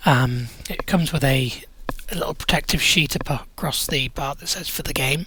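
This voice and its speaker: A man speaks in a British accent. His pitch is fairly high and his pace moderate. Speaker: tech reviewer. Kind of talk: product review unboxing. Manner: casual, with frequent fillers.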